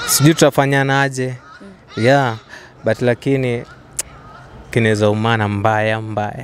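At a fairly slow pace, a man talks with fairly even intonation, the sound dry with no echo and light background noise. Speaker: interviewee. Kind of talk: interview answer. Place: garden. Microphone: handheld.

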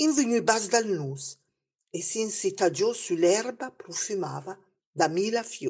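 With a Lombard accent, a woman speaks at a very slow pace in a somewhat breathy voice, her pitch making very wide swings. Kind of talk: storytelling in local dialect.

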